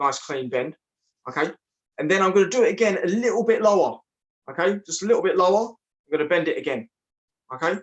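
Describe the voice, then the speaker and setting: A man speaks with a British accent at a fairly quick pace. His intonation is lively. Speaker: online family craft show host. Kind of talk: craft tutorial. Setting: livestream.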